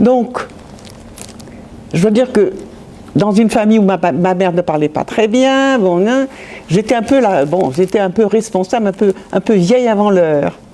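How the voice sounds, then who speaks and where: A woman at a fairly slow pace, with long, frequent pauses, very even loudness, lively intonation and noticeable background noise. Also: medium pitch for a woman. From France, Metz (Lorraine). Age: 80s+. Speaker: Holocaust-era witness. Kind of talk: testimony. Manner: halting, with many repetitions.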